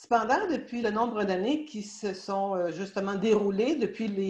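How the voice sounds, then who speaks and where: Speaking at a fairly slow pace, a woman talks in a Quebec accent. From Quebec, Canada. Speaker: law of attraction teacher. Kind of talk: casual talk to an audience. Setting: live stream. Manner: hesitant, many fillers.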